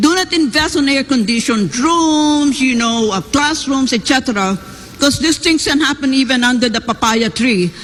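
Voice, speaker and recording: Lively intonation stands out against noticeable background noise. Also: woman. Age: 70s. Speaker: professor, debate panelist. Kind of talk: debate questioning.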